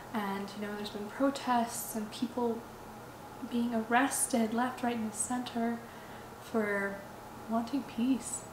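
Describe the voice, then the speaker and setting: In a very slow voice with long, frequent pauses, a woman speaks at a fairly high pitch with monotone, flat intonation, amid noticeable background noise and audible room echo. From Ukraine, Odessa. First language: Russian. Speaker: vlogger. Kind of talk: personal vlog monologue. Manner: halting, with repetitions and fillers.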